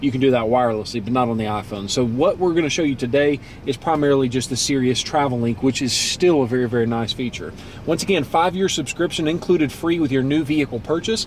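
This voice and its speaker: Noticeable background noise sits behind a man with a Southern US accent. He talks at a very fast pace, with medium pitch and ordinary pitch variation. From US South. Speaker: car dealership video host. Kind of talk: tutorial.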